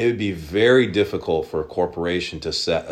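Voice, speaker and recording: The man talks with an American accent. Ordinary pitch variation runs through his speech. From Oklahoma. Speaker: sports card shop owner. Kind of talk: interview.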